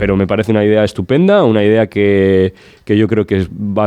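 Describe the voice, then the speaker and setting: A man talks at a fairly quick pace with fairly low pitch and a dark, mellow tone. His intonation is fairly even, and the background is quiet. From Cantabria, rural village. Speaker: regional politician. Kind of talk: political talk show debate.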